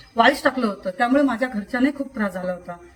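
A woman's voice shows ordinary pitch variation, with noticeable background noise behind it. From Kolhapur, Maharashtra, India. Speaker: social worker and award recipient. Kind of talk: testimony. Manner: halting.

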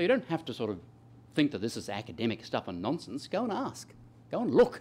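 A man's fairly high voice with vocal fry, very wide pitch swings and a very fast pace. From Australia. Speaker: economist, professor; professor. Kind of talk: lecture. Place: hall. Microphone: podium.

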